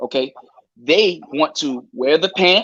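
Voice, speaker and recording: The delivery is very slow in pace with lively intonation. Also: man. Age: 40s. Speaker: live-stream panel guest. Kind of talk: casual chat. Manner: halting.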